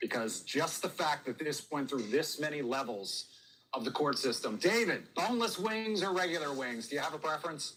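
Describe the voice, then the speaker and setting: A man with an American accent speaks at a moderate pace. His fairly high pitch swings very widely. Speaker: TV talk show host. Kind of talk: live TV news chat; news reading.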